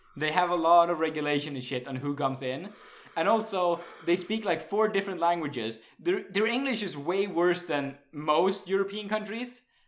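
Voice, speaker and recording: Medium-speed delivery full of lively intonation, noticeable noise behind it. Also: man, high pitch for a man. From Sweden. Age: 20s. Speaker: podcast host. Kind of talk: casual chat.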